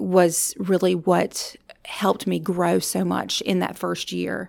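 A woman speaks with a Louisiana accent. The recording is very clean, with a silent background. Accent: Southern US (Louisiana). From US South, rural northern Louisiana. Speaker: university counseling director. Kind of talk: interview. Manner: halting.

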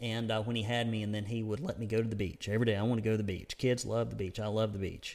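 His pace is very fast. He speaks in a Southern US accent. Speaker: conservative news publisher and podcast host. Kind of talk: news commentary monologue. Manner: rambling; casual, frequent filler words.

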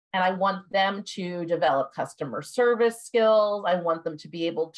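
Her medium-pitched voice carries an enthusiastic tone as the woman speaks. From US, Northern Virginia. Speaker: elementary school tech coach. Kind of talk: casual interview conversation.

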